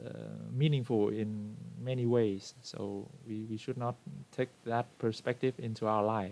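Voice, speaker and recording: A man at a fairly slow pace with fairly even intonation. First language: Vietnamese. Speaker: book club member. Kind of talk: book discussion in online meeting. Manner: halting, many fillers.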